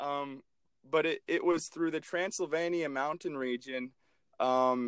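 A man's normal speaking voice, fairly high in pitch, with lively intonation at a fairly slow pace, on a very clean recording with a silent background. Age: 20s. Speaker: swim coach and college student. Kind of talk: casual chat.

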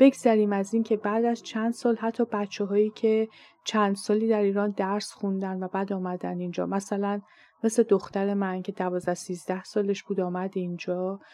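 At a moderate pace, a woman speaks in a medium-pitched voice with a dark, mellow tone and monotone, flat intonation. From Iran. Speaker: podcast host and Persian language teacher. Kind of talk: scripted monologue.

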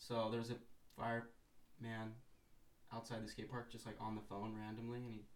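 There is audible room echo around the voice. A man talks at a very fast pace in a flat monotone. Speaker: skateboarder. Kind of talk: casual chat. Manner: deadpan.

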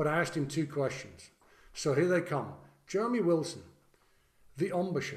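A man's high-pitched voice at a moderate pace, with long, frequent pauses, very even loudness, ordinary pitch variation and audible room echo. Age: 50s. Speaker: trombonist and podcast host. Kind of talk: casual interview conversation. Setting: video call.

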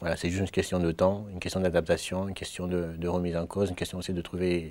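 A man with a Mayotte accent speaks in a very deep, low pitch with monotone, flat intonation. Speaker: student. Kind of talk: testimony. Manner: halting.

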